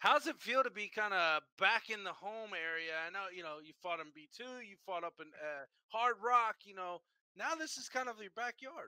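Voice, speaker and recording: A man with a high pitch speaks in a raised, projected voice at a moderate pace, with lively intonation and big swings in loudness. The sound is dry and close, with no echo. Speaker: combat sports show host. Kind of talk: interview. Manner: halting.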